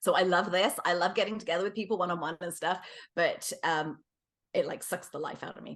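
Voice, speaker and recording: A woman speaks with an English accent. Her pitch variation is ordinary. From England. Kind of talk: interview.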